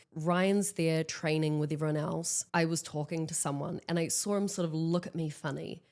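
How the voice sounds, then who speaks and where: With a New Zealand accent, the speaker goes at a moderate pace with hardly any pauses and a monotone, flat intonation, on a very clean recording with a silent background. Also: woman, fairly low pitch for a woman. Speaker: actress and stunt performer. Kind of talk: interview, casual chat. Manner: loud.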